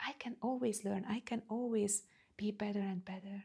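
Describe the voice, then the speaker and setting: A woman with a non-native accent speaks at a medium pitch and a fairly slow pace, her tone dark and mellow, somewhat breathy, with fairly even intonation. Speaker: spiritual coach. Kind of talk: personal vlog talk. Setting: standing in front of camera. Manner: halting.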